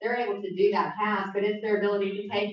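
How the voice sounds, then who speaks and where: The woman talks fairly quickly, and her pitch moves in an ordinary way. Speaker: neurofeedback business owner, guest speaker. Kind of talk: presentation to a club meeting. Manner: fast.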